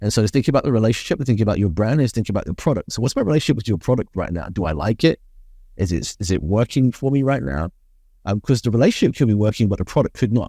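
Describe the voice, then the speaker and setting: With a British accent, a man talks at a very fast pace in a medium pitch with a dark, mellow tone and lively intonation, on a very clean recording with a silent background and a dry, close sound with no echo. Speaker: business consultant. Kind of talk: interview. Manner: articulate, measured.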